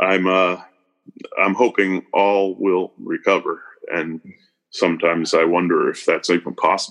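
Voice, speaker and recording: In an American accent, a man talks at a moderate pace with long, frequent pauses. The sound is dry and close, with no echo. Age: 50s. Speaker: farmer. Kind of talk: interview.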